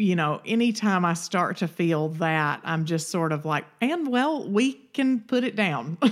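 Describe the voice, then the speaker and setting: Lively in intonation, a woman speaks at a medium pitch and a fairly slow pace. The recording is very clean, and the background is silent. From Alabama, US South. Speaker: podcast co-host. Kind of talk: casual chat. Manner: conversational, relaxed.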